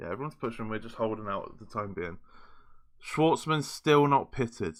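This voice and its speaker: In a British accent, a man speaks at medium pitch and a fairly quick pace with an animated tone, lively intonation and big swings in loudness, on a very clean recording with a silent background. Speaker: gaming YouTuber. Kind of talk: gameplay commentary. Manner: fast.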